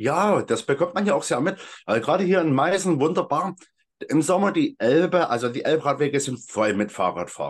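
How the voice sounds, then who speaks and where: With vocal fry and lively intonation, a man with a fairly high pitch talks at a fairly quick pace. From Saxony, Freital near Dresden. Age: 30s. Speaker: hiking group founder and volunteer. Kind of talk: casual interview.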